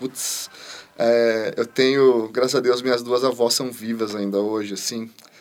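Over noticeable background noise, a man speaks fairly slowly in a flat monotone. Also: medium pitch for a man. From Brazil, interior of São Paulo state. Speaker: chef, cooking show contestant. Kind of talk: casual chat.

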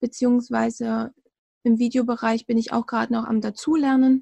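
A woman's high-pitched voice in monotone, flat intonation, dry and close with no echo, over a quiet background. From Thuringia, eastern Germany. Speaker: virtual assistant. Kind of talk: interview. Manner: hesitant, frequent fillers.

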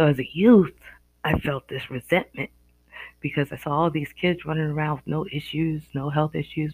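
A moderate pace with an American accent. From US Northeast. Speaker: podcaster. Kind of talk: solo monologue, reflective podcast talk. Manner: reflective, hesitant with fillers.

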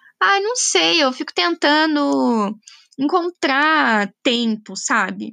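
A woman with a high pitch and a bright, sharp tone projects her raised voice very slowly, swinging very widely in pitch, in a dry, close sound with no echo. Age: 20s. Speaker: podcaster. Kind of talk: personal monologue. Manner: casual, hesitant with fillers.

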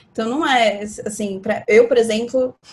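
A normal speaking voice from a woman, fairly high-pitched, at a moderate pace. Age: 30s. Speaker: astrology guest. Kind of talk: casual chat.

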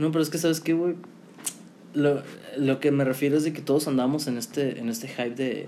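A man with a Mexican accent and a fairly high pitch, fairly quick in pace, fairly even in intonation, with long, frequent pauses. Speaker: podcast co-host, marketing student. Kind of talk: casual chat.

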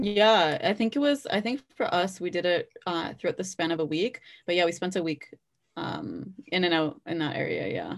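A woman talks with a Toronto accent. Her pace is moderate. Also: medium pitch for a woman, ordinary pitch variation. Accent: Canadian (Toronto area). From Canada, Brampton, Ontario. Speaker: journalism student. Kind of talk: casual interview.

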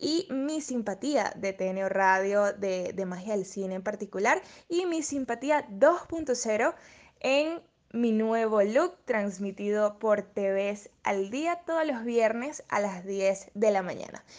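Over a quiet background, a woman speaks at a very slow pace with lively intonation and a fairly high pitch. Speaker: radio presenter and model. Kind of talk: interview.

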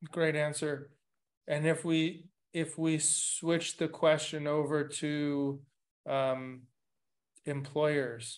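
A man speaks in a flat monotone at a fairly high pitch, against a quiet background. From Latin America. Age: middle-aged. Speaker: podcast host. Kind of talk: casual interview. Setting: video call.

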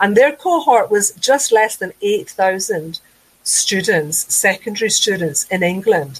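With a Glaswegian accent, a woman talks at a fairly slow pace and medium pitch, her intonation lively. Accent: Glaswegian Scottish. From Scotland, Glasgow south side. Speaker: education lecturer. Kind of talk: webinar presentation. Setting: online webinar.

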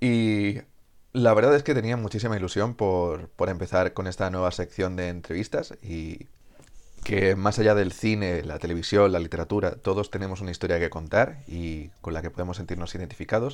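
A man speaks at a moderate pace with a very deep, low pitch. His pitch variation is ordinary, and the background is quiet. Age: 20s. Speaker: interviewer and channel host. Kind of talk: interview.

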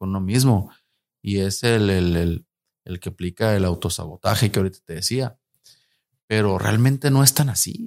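Taking long, frequent pauses, a man speaks at a moderate pace and a fairly low pitch with ordinary pitch variation, in a very clean recording with a silent background. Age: 40s. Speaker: musician and communications graduate. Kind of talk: casual interview.

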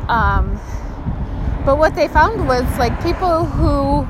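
Noticeable background noise and audible echo from the room surround a woman as she speaks. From Alaska (Kotzebue). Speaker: podcaster. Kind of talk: casual monologue. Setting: outdoors. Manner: rambling, halting with fillers.

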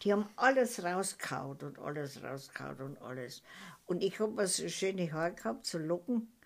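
A woman's fairly low voice with vocal fry, very wide pitch swings, big swings in loudness, and a moderate pace. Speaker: grandmother recounting wartime childhood. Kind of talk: oral history interview. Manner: halting.

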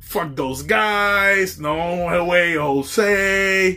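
A man with a Puerto Rican accent speaks in a bright, sharp tone with lively intonation. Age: 30s. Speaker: podcast host. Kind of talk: casual solo monologue. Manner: hesitant, many fillers.

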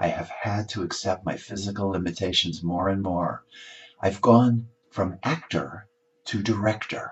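A man's somewhat breathy voice, fairly low in pitch, with ordinary pitch variation. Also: fairly slow pace. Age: 70s. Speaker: columnist and author. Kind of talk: reading aloud.

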